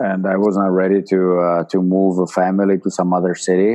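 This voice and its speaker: A man speaks with a Czech accent at a very deep, low pitch. His pace is fairly slow. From Czechoslovakia. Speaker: former ice hockey player and player agent. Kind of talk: interview.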